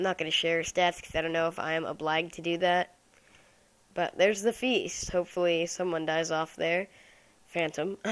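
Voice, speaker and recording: The voice moves at a fairly quick pace with fairly even intonation. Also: woman, fairly low pitch for a woman. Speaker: gaming YouTuber. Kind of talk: gameplay commentary. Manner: fast; casual, thinking aloud.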